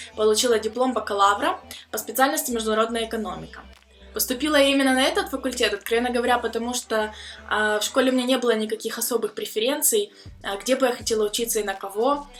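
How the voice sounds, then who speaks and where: Music plays behind a woman with a fairly high-pitched voice. She speaks at a very fast pace. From Ukraine. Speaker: vlogger, student abroad. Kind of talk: personal vlog story. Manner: casual with filler sounds.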